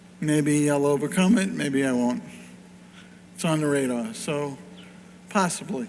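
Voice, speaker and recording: A man with a fairly high pitch speaks slowly-ish, with lively intonation. Long, frequent pauses break up his speech, and audible room echo surrounds it. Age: 60s. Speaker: pinball company founder. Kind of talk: panel talk. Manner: animated.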